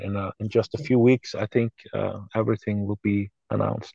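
Against a quiet background, a man with a Norwegian accent speaks in a fairly low voice with fairly even intonation. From Norway. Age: 40s. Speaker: musician. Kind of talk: interview.

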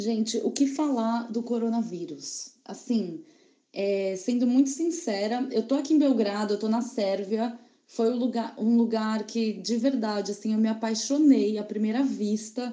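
At a fairly slow pace, the voice sounds somewhat breathy and dark, mellow in tone, with ordinary pitch variation. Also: woman, fairly high pitch for a woman. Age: 30s. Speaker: advertising professional, traveler. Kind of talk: casual chat, separately recorded.

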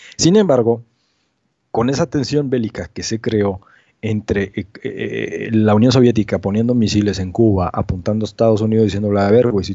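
A man with an unremarkable speaking voice talks at a fairly quick pace in a fairly low pitch, with ordinary pitch variation. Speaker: amateur astronomy researcher. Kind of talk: casual interview.

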